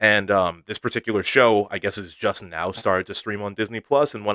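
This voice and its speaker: A man's fairly low voice, relaxed in tone yet bright and sharp, comes through a dry, close sound with no echo on a very clean recording with a silent background. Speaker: solo podcast host. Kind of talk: casual solo monologue. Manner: relaxed, with many fillers.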